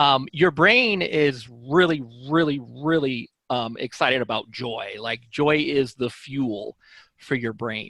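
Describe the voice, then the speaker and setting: A man with an American accent speaks very slowly at a fairly high pitch, his tone bright and sharp, his pitch varying in an ordinary way against a quiet background. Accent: sounds Southern to some listeners. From Illinois. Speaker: author. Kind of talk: interview. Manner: halting, many fillers.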